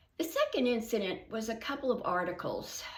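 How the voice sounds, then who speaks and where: Audible room echo follows a woman speaking at a moderate pace. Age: 80s+. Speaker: senior fitness vlogger. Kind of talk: reading aloud.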